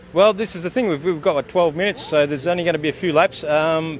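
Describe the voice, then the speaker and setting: A man is speaking. Music plays behind him. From Australia. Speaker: sidecar racer. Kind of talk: interview. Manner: halting, with fillers and repeats.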